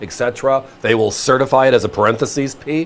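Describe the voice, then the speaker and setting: An animated man's voice at medium pitch, with ordinary pitch variation and a fairly quick pace. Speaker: shopping channel coin seller. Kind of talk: sales pitch.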